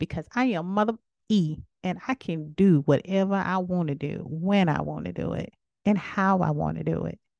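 With a South Carolina accent, a woman speaks at a moderate pace and medium pitch in an animated tone. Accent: Southern US, South Carolina speech. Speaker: podcast host. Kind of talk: casual solo monologue.

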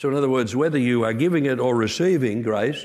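With an Australian accent, a man speaks with lively intonation amid audible room echo. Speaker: pastor. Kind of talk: sermon.

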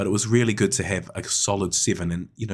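A man with a New Zealand accent at a fairly quick pace, on a very clean recording with a silent background. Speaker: netball coach and podcast co-host. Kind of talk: casual chat.

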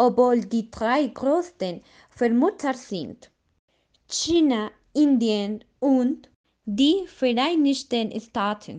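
Against a quiet background, a woman with a Spanish accent speaks very slowly at a high pitch, her tone dark and mellow and her intonation lively. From Colombia. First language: Spanish (speaking German). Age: 20s. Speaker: nature activist. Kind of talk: scripted podcast discussion.

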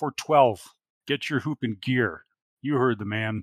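On a very clean recording with a silent background, a man puts on a gruff, raspy character voice at medium pitch and a fairly slow pace.

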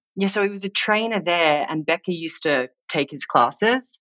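A bright, sharp tone comes at a moderate pace. Its pitch varies in an ordinary way. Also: woman. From Australia, Sydney. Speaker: stylist and creative consultant. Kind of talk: casual chat. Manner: animated.

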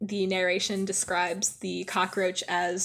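Just a natural reading voice

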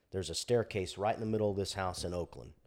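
A man speaks with fairly even intonation in a normal speaking voice. The recording is very clean, with a silent background. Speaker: fire captain. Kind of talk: casual chat.

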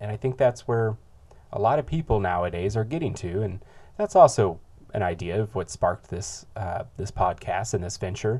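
Somewhat breathy, with a dark, mellow tone, a man speaks at a fairly low pitch and moderate pace with lively intonation. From third world country, moved to US. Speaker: podcast host. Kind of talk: solo podcast monologue. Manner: halting, many repeated words and filler.

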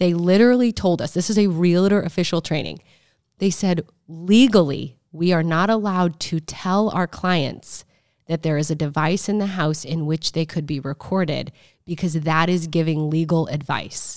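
In a very clean recording with a silent background, a woman with an American accent speaks in a plain, everyday voice at a fairly low pitch, with ordinary pitch variation. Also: moderate pace. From Omaha, Nebraska. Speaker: podcast host, real estate agent. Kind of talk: casual chat.

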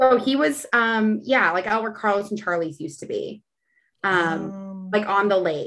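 The speaker is a woman with a medium pitch and ordinary pitch variation. She moves at a moderate pace. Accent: Texan. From Texas, San Antonio. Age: 30s. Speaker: chef and reality TV contestant. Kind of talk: casual chat.

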